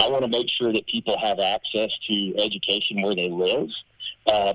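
Over noticeable background noise, a man with an American accent talks at a fairly quick pace, his fairly low voice held to a fairly even intonation. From southern Arkansas, US South. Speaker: Senate candidate. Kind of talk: interview.

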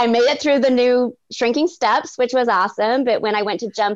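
Her pitch is fairly high and her intonation lively as this woman talks at a moderate pace. She has a plain, everyday voice. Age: 40s. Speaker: stay-at-home mom and ninja competitor. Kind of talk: casual interview.

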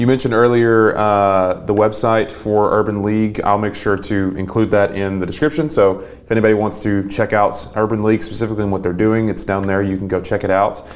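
A man speaks at a fairly quick pace with hardly any pauses, in an ordinary speaking voice. His pitch is fairly low, and his intonation stays fairly even. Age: 20s. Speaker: podcast host. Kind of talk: interview.

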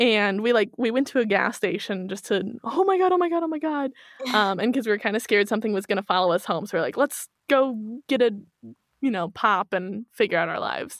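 A woman with a US Midwestern accent speaks at a fairly quick pace in a fairly high pitch. Her intonation is lively, and the sound is dry and close with no echo. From Kansas City, Missouri, US Midwest. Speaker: true crime and paranormal podcaster. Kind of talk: casual interview chat.

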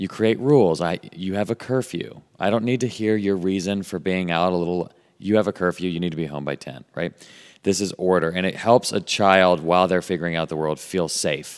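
On a very clean recording with a silent background, a man talks at a fairly quick pace in a very deep, low pitch. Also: ordinary pitch variation. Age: 30s. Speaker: author. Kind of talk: casual chat.

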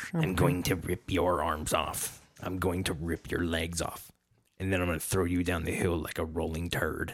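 Putting on a character voice, a man speaks in a raspy, very deep, low register at a moderate pace, his intonation monotone and flat. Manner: threatening.

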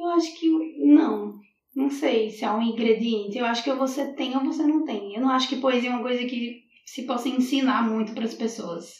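With a Rio Grande do Norte accent, a woman talks at a moderate pace in a high pitch with ordinary pitch variation, and audible room echo surrounds her. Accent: Brazilian northeastern (potiguar). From Brazil, Natal (Rio Grande do Norte). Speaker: poet. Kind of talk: casual interview.

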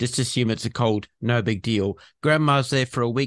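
Recorded very cleanly with a silent background and a dry, close sound with no echo, a man with an Australian accent speaks at medium pitch and a moderate pace with fairly even intonation. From Western Australia. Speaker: podcast host and vaccine advocate. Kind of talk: interview.

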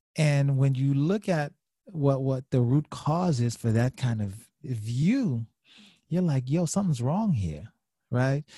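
With a dark, mellow tone and some breathiness, a man talks very slowly with lively intonation in a dry, close sound with no echo. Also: fairly high pitch for a man. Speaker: marriage and family therapist. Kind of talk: casual interview chat.

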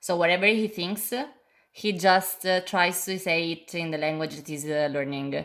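A woman with a fairly low pitch and ordinary pitch variation talks at a fairly slow pace, with big swings in loudness. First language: Italian. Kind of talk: casual chat. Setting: video call. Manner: halting.

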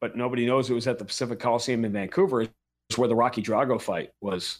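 A man talks in a normal speaking voice with an American accent, at medium pitch with ordinary pitch variation and a fairly quick pace. The recording is very clean, with a silent background. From New York. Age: 50s. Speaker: NBA and MMA play-by-play announcer. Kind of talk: casual interview chat.

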